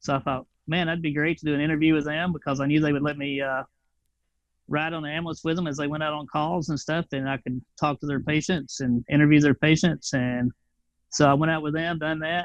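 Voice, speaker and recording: A man's fairly high, monotone voice in a Tennessee accent, with flat intonation at a fairly quick pace. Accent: Tennessee twang. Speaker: flight paramedic, veteran. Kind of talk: casual interview.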